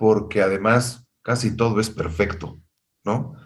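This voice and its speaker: Speaking at a fairly slow pace with a Mexican accent, a man has a somewhat breathy, fairly low-pitched voice, and there is audible room echo. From Mexico. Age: 50s. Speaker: music industry executive and singer. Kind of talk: interview.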